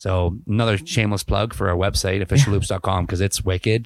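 In a plain, everyday voice with a Canadian accent, the speaker moves at a fairly quick pace. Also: man, very clean recording, silent background. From Ontario, Canada. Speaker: podcast host and band member. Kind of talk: casual chat.

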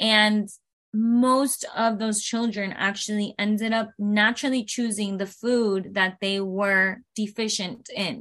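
A woman speaks very slowly in a fairly high, flat, monotone voice against a quiet background. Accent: Spanish. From Venezuela, raised in South Florida. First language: Spanish. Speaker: aerialist. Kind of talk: interview.

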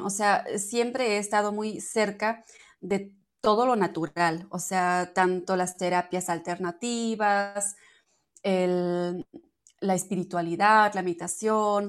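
The background is quiet as a woman speaks at a very slow pace. Her medium pitch carries fairly even intonation. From Germany. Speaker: entrepreneur of natural personal care products. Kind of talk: interview. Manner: halting.

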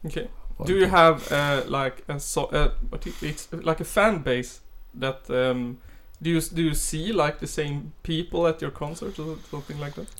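A man with a Swedish accent talks at a moderate pace, his fairly high voice showing ordinary pitch variation. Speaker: podcast host. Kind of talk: interview.

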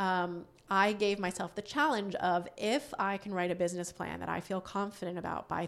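In an American accent, a woman talks at a moderate pace and medium pitch with ordinary pitch variation. She has a plain, everyday voice, and the recording is very clean with a silent background. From Western Massachusetts, US. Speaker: company founder and CEO. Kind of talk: interview.

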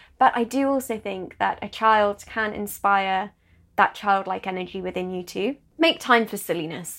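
A woman with a British accent, medium-pitched and fairly slow, on a very clean recording with a silent background. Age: 30s. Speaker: podcast host. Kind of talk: solo podcast monologue.

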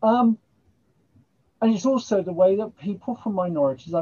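A somewhat breathy woman with an English accent, lively intonation and a moderate pace. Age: 70s. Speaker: writer and poet. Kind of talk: casual chat.

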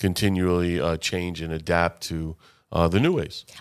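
In a very clean recording with a silent background, a man with an American accent speaks at a very deep, low pitch. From Boca Raton, Florida. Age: 40s. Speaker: radio show host. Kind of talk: interview. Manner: halting, many fillers.

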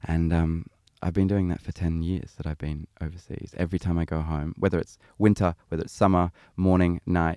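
A man speaks at a moderate pace in a very deep, low voice with a dark, mellow tone. His intonation is monotone and flat, and the sound is dry and close with no echo. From Sydney, Australia. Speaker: singer-songwriter. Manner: chatty, laughs often.

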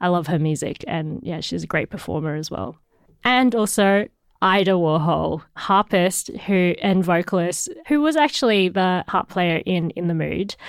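Speaking with an Australian accent, a woman uses a fairly low pitch. Her pace is fairly slow. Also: ordinary pitch variation. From Hong Kong, raised in Australia. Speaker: musician. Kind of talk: interview. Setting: backstage.

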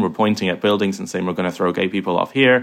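Very fast speech from a man with fairly low pitch and fairly even intonation. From Ireland, Kilkenny. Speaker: former extremist video maker, filmmaker. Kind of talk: interview.

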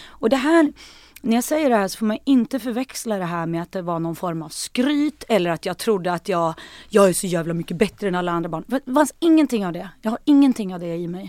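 A woman's medium-pitched voice with very wide pitch swings, dry and close with no echo, on a very clean recording with a silent background. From Sweden, Hälsingland. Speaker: singer and actress. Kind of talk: casual chat.

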